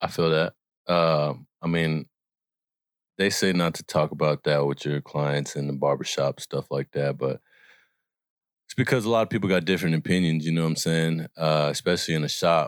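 Very deep and low, a man's voice comes in an American accent at a moderate pace with ordinary pitch variation and long, frequent pauses. The recording is very clean, dry and close with a silent background and no echo. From US Midwest, Kansas City. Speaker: barber. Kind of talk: casual chat.

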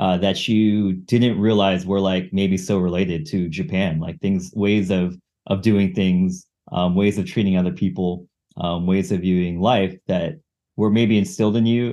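A man's plain, everyday voice with an American accent, fairly low in pitch, at a moderate pace, with very even loudness and fairly even intonation. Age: 30s. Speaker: weightlifter and chef. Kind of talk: casual chat.

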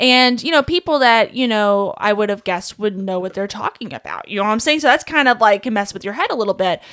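With a Kentucky accent, a woman speaks very fast in a fairly high voice, barely pausing. Her intonation is lively, and the recording is very clean with a silent background. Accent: Southern US (Kentucky). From Kentucky, small town. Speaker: songwriter and musician. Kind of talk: casual chat. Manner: animated.

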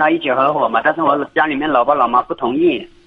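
A man with a fairly high pitch and fairly even intonation, plus noticeable background noise. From Jiangxi, China. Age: 20s. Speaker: caller. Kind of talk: phone call-in. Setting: phone call. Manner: halting. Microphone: poor phone line.

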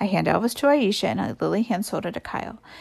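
Reading aloud in a natural voice is what this clip offers.

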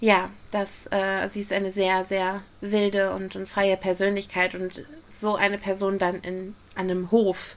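Against noticeable background noise, a woman talks at a fairly slow pace with monotone, flat intonation. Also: medium pitch for a woman. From Ruhr area, Germany. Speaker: podcast co-host, musical fan. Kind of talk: casual chat.

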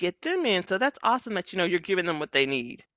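Speaking at a fairly quick pace, a woman uses a medium pitch with very wide pitch swings. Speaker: podcast host and librarian. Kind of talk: casual chat. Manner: animated, chatty.

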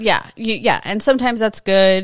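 Recorded very cleanly against a silent background, a woman's voice sounds dry and close with no echo and ordinary pitch variation. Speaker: podcast co-host. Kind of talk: casual chat. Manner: soft-spoken.

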